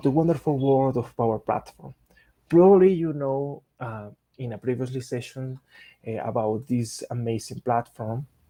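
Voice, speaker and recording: In a Spanish accent, a man speaks at a moderate pace with a medium pitch. His tone is dark and mellow, and the sound is dry and close with no echo. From Colombia. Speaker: software engineer and tech speaker. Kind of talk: technical presentation. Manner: halting, with frequent fillers.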